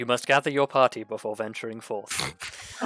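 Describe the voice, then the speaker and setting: Putting on a booming character voice, a man talks at a medium pitch and a moderate pace with fairly even intonation. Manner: commanding.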